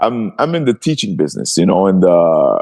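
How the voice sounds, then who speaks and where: A man speaks with a Quebec accent. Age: 40s. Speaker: retired MMA fighter and martial arts coach. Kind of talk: casual interview chat. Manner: animated, repetitive and stammering.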